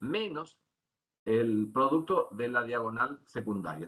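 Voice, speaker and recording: At a fairly slow pace, a man talks in an unremarkable speaking voice at medium pitch. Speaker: university lecturer. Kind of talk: lecture.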